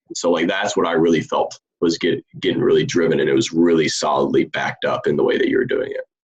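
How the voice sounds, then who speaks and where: A man talking very fast, with almost no pauses. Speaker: preacher in sermon feedback group. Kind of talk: casual chat, sermon critique. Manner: halting.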